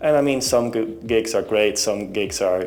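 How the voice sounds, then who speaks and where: A man at a moderate pace with a Dutch accent, with music in the background. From Netherlands. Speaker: singer-songwriter. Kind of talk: interview. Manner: halting.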